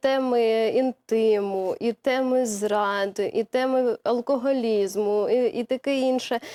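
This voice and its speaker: With a high pitch and a dark, mellow tone, a woman speaks with ordinary pitch variation. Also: dry, close sound with no echo. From Zaporizhzhia, southern Ukraine. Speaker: TV presenter. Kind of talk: studio interview. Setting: TV studio.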